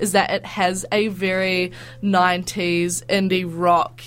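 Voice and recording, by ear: A woman's medium pitch with little pitch movement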